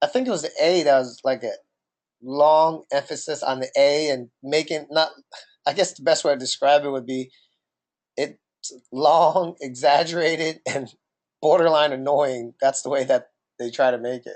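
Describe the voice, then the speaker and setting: With a New Jersey accent, a man talks at a moderate pace and a fairly high pitch, his intonation fairly even. His loudness swings widely. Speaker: podcast co-host. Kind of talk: casual chat.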